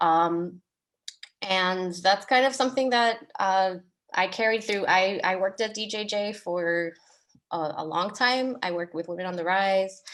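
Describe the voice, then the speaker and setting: A woman with an ordinary speaking voice talks at a fairly slow pace, her medium pitch varying in an ordinary way. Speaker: artist and arts educator. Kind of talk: panel discussion on video call.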